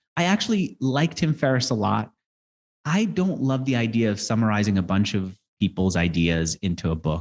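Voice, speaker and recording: A man uses an ordinary speaking voice, fairly low in pitch with lively intonation. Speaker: interviewer and author. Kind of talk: interview.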